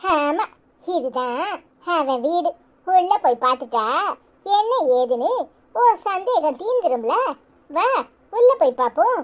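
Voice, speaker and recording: A cartoonish character voice, very slow, with very wide pitch swings. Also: woman, extremely high pitch for a woman. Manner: blunt, lecturing.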